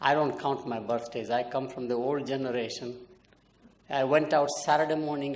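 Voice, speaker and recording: With audible room echo, a man speaks at a moderate pace in a medium pitch, keeping his intonation fairly even. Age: 80s+. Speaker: marketing professor. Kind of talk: keynote lecture.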